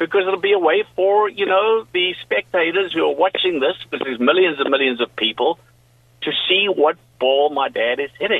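A high-voiced man talks at a moderate speed, his intonation lively and varied. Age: 60s. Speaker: golf family member. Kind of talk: interview.

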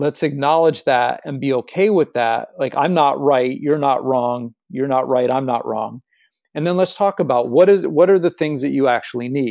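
A man with a plain, everyday voice speaks at a moderate pace and a fairly high pitch, with ordinary pitch variation. The background is quiet. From Los Angeles, West Hollywood. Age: 40s. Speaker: empowerment coach. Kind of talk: interview.

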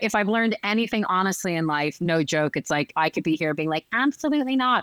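Speaking very fast with an American accent, a woman with a medium pitch makes very wide pitch swings, in a dry, close sound with no echo on a very clean recording with a silent background. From US East Coast (Northern Virginia). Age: 40s. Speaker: pastry chef and entrepreneur. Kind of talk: casual chat.

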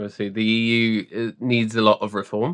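At a moderate pace and medium pitch, a man speaks in an unremarkable speaking voice against a quiet background. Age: 20s. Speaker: podcast co-host and musician. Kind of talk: casual chat.

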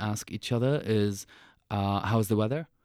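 A man with an Arabic accent, medium pitch and fairly even intonation at a moderate pace, dry and close with no echo on a very clean recording with a silent background. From Syria. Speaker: author and refugee activist. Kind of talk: interview.

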